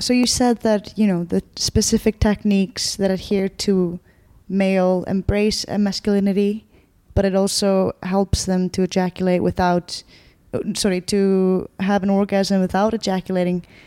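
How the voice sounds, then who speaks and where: Over a silent background on a very clean recording, a woman with an Icelandic accent speaks at medium pitch and a moderate pace in a dark, mellow tone, with monotone, flat intonation, very even loudness and a dry, close sound with no echo. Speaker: podcast host. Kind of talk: interview.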